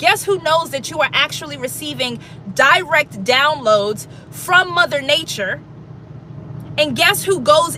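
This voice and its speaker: An animated tone comes through at a fairly slow pace amid noticeable background noise. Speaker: spiritual livestreamer. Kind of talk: livestream monologue. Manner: loud.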